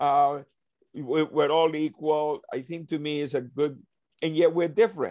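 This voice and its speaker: A fairly high-pitched male voice at a fairly slow pace. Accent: Spanish. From Colombia (Cartagena), then New York from 14. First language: Spanish. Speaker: leadership consultant. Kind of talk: casual discussion.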